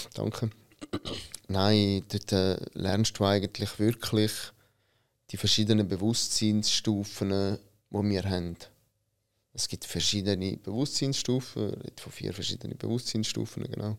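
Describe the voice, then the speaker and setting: A man's fairly low, monotone, flat voice at a fairly slow pace, with long, frequent pauses, on a very clean recording with a silent background. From Switzerland, Italian immigrant family. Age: 30s. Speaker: business consultant, company founder. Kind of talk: interview.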